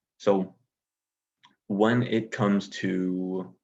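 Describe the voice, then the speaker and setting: A man speaks with an American accent. His pitch sits fairly low, and his intonation stays fairly even. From United States. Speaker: typology YouTuber. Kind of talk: casual explainer monologue. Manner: hesitant, many fillers and restarts.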